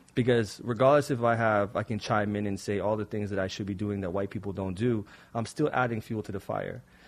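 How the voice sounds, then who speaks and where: A man's normal speaking voice, fairly low-pitched, with fairly even intonation, a fairly quick pace and hardly any pauses. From Toronto, Canada. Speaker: poet and playwright. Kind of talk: casual interview chat.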